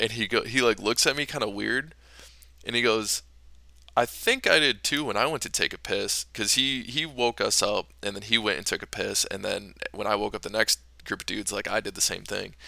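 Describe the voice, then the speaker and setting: Speech at a fairly quick pace with an American accent comes through on a very clean recording with a silent background. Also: man. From northern US. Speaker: podcast host, Marine veteran. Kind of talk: casual chat, storytelling.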